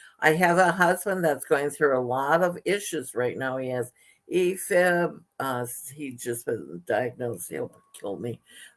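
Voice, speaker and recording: Her voice very deep and low, a woman speaks at a fairly slow pace with lively intonation. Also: big swings in loudness. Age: 70s. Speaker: radio host. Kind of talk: interview. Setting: radio studio.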